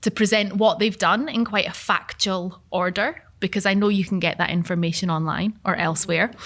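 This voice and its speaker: Speaking at a moderate pace with a southern Scottish accent, a woman has a bright, sharp tone, medium pitch and ordinary pitch variation. The recording is very clean, with a silent background. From southern Scotland, Gretna. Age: 30s. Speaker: event facilitator. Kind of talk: panel moderation. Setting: live event with audience.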